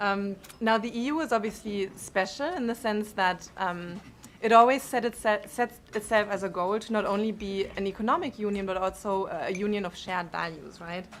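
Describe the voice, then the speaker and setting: A woman speaks with a strong German accent. Her pace is moderate. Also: medium pitch for a woman, ordinary pitch variation. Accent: thick German. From Germany. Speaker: panelist on technology policy. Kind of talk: conference panel talk. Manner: frequent filler words (um, uh).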